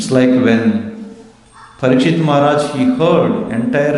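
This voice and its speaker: Very slow speech from a man with an Indian accent, fairly high in pitch with very wide pitch swings, plus noticeable background noise and audible room echo. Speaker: religious teacher. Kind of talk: scripture class.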